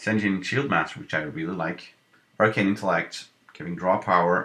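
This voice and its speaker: A bright, sharp tone in a non-native accent, with ordinary pitch variation. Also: man. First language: not English. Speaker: gaming video creator. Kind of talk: gameplay commentary. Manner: casual, thinking aloud.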